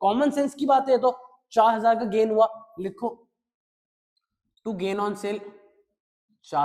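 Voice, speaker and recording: A man speaks at a fairly slow pace. His tone is animated. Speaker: accountancy teacher. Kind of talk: lecture.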